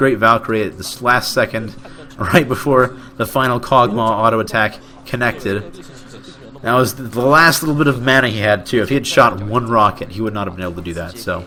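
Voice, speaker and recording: Noticeable background noise sits under a man speaking in a medium pitch with ordinary pitch variation. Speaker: amateur esports caster. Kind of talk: live commentary. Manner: fast; stumbling over words.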